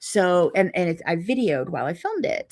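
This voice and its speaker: A woman's fairly low voice with a Pittsburgh accent, on a very clean recording with a silent background. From US, Pittsburgh. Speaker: quilting video host. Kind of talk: casual chat to viewers. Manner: chatty, many fillers.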